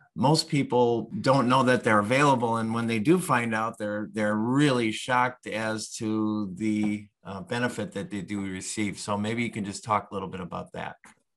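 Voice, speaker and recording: A man speaks in a plain, everyday voice at medium pitch with ordinary pitch variation. His pace is moderate with hardly any pauses, over a quiet background. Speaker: senior move specialist, co-host. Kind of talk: interview.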